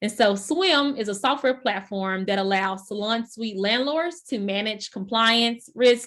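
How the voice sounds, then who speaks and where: At a fairly slow pace, a woman with a fairly high pitch and a Texan accent speaks with hardly any pauses. Her pitch varies in an ordinary way, over a quiet background. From Texas. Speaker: workshop host. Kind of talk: introduction. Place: home room. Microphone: video call.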